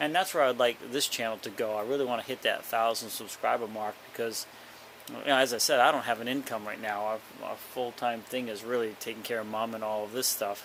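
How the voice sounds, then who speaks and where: A man mumbles at a fairly quick pace and medium pitch. His intonation stays fairly even. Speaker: vlogger caring for a parent. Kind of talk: casual vlog. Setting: basement, handheld camera. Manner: mumbling; rambling, halting with fillers.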